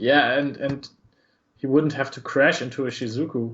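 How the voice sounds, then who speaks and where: A man with a German accent talks at a moderate pace with fairly even intonation. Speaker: esports commentator. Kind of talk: live commentary.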